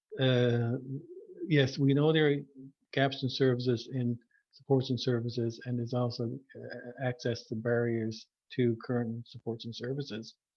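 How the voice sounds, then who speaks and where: This man talks at a moderate pace in a medium pitch, his intonation monotone and flat. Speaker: podcast host. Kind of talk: podcast interview question. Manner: stuttering, repetitions.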